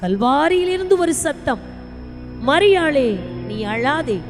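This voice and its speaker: A woman's voice is heard. Behind it, music plays. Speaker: Bible college staff narrator.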